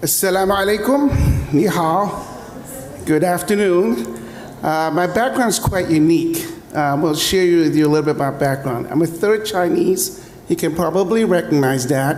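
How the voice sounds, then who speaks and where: A man speaks with lively intonation, his pitch high for a man and his loudness very even. Noticeable background noise and audible room echo fill the recording. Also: moderate pace. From UAE. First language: Arabic. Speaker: tech entrepreneur. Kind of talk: panel discussion. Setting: stage with audience.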